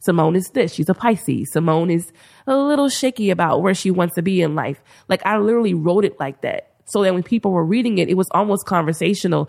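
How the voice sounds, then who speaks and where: Very fast, a woman talks at medium pitch with lively intonation. Her loudness stays very even. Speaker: TV writer and former teacher. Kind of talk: casual interview chat. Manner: soft-spoken.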